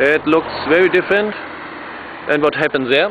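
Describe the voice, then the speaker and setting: A voice with a German accent moves at a moderate pace through noticeable background noise. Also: man. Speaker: electric vehicle racer and activist. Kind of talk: video presentation. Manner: halting, many fillers.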